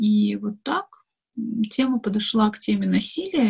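Her voice fairly high and somewhat breathy, a woman speaks at a fairly slow pace in a dry, close sound with no echo. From Dagestan, Makhachkala. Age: 20s. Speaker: blogger and activist. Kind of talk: interview.

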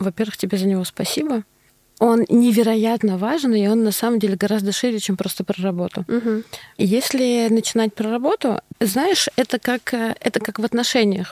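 A woman with a fairly high pitch speaks at a moderate pace in an ordinary speaking voice, her pitch varying in an ordinary way, in a dry, close recording with no echo. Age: 40s. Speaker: marketing executive. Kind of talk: casual chat.

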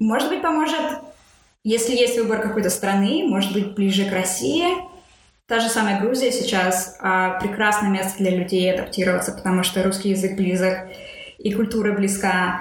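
Audible room echo surrounds a woman whose loudness stays very even. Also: medium pitch for a woman, ordinary pitch variation, moderate pace. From Russia. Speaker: author of a book on emigration. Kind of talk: interview. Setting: remote call from California.

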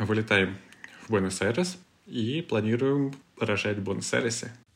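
In a plain, everyday voice, a man talks at a moderate pace with fairly low pitch and lively intonation. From Siberia, Krasnoyarsk. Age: 30s. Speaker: furniture hardware salesman. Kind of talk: casual interview.

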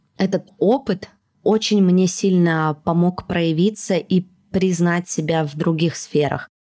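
A woman's fairly low, dark, mellow voice at a fairly slow pace. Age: 30s. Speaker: podcast host and producer. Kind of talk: casual chat.

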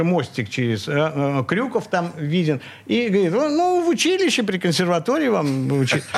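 Amid noticeable background noise, a man with a high pitch talks at a fairly slow pace, his voice making very wide pitch swings. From Leningrad (St Petersburg), Russia. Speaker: composer and multi-instrumentalist. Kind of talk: radio interview, reminiscing. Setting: radio studio.

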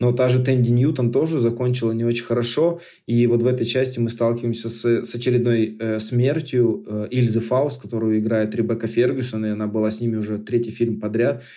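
A man of medium pitch talks at a fairly quick pace, his tone dark and mellow and his intonation fairly even. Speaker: podcast host. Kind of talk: casual chat.

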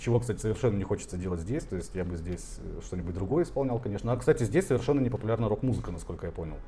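A man talks at a very fast pace with lively intonation and a fairly low pitch. His tone is dark and mellow, and somewhat breathy. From Siberia, Tomsk. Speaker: tattoo artist and marketer. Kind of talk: casual chat.

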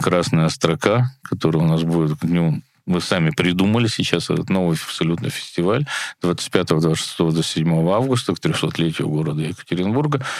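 A man with a very deep, low voice speaks at a moderate pace, using ordinary pitch variation. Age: 60s. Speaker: festival director and musician. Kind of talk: casual interview.

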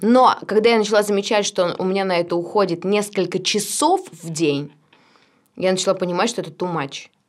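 Using a plain, everyday voice, a woman speaks at a fairly quick pace with a medium pitch and ordinary pitch variation. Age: 20s. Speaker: singer in a cover band, directing student. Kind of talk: casual interview chat.

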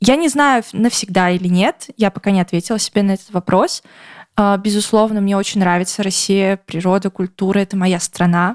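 At a moderate pace, a woman with an unremarkable speaking voice speaks at a medium pitch with ordinary pitch variation and very even loudness, in a dry, close sound with no echo. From Russia. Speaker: podcast co-host. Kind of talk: casual chat.

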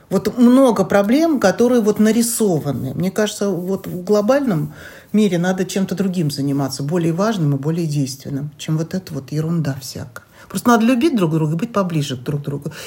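The speaker has a dark, mellow tone, somewhat breathy, with very wide pitch swings and a fairly quick pace. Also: woman, medium pitch for a woman. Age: 60s. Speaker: co-host's mother. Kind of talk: interview.

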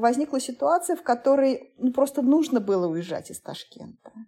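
High-pitched woman's voice with a dark, mellow tone and very wide pitch swings. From Uzbekistan, Tashkent. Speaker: food journalist and TV presenter. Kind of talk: interview. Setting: call.

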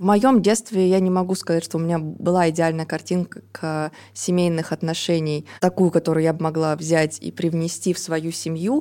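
Her voice is fairly low for a woman, with a dark, mellow tone and fairly even intonation. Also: moderate pace. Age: 30s. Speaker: podcast co-host. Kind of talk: casual podcast conversation.

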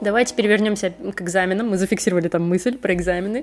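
Noticeable background noise sits behind a woman speaking. Her pitch is medium, with ordinary variation. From Russia, Leningrad region. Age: 30s. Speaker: podcast host, copywriter. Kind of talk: casual interview chat.

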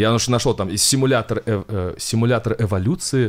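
With an ordinary speaking voice, a man talks at medium pitch and a moderate pace, with ordinary pitch variation. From Kovrov, Russia. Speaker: science YouTuber. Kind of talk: casual interview.

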